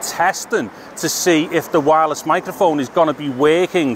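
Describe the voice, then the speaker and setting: The recording has a dry sound with no echo and noticeable background noise. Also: man. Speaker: tech reviewer. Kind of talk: casual vlog tutorial. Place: street. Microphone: handheld.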